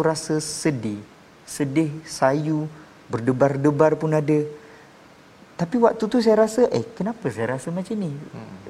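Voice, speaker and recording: With very wide pitch swings and a fairly high pitch, a man speaks at a moderate pace over noticeable background noise. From Malaysia (born Sabah, raised Peninsular). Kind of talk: testimony.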